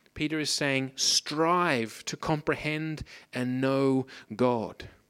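A man with an Australian accent talks in a fairly high pitch. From Australia, Pacific coast. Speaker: preacher. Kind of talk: sermon. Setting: church.

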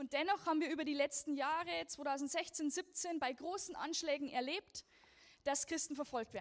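A woman's voice at a moderate pace, with ordinary pitch variation. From Lower Bavaria, Germany. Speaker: persecution ministry speaker. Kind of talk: church talk. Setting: church service.

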